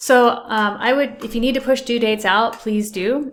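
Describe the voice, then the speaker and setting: Speaking at a moderate pace, a woman with a plain, everyday voice keeps a fairly high pitch and fairly even intonation. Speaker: accountant. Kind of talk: tutorial.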